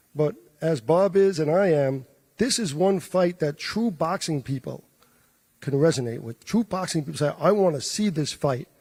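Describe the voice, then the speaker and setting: A man in a New York accent, fairly high-pitched, with ordinary pitch variation and a dark, mellow tone. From New York, the Bronx. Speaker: boxing promoter. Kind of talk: press conference remarks.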